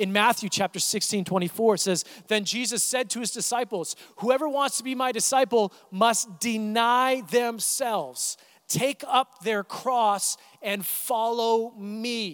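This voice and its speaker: In a very clean recording with a silent background, a man speaks at an extremely high pitch with ordinary variation, the sound dry and close with no echo. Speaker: youth pastor. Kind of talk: sermon. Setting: church. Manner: fast.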